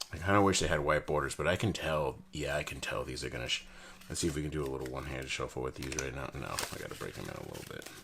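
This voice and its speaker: The speaker has an American accent and a very fast pace. Noticeable background noise is present. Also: man. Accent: Texan, comes out more at times. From Texas. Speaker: deck review host. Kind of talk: casual chat. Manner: animated.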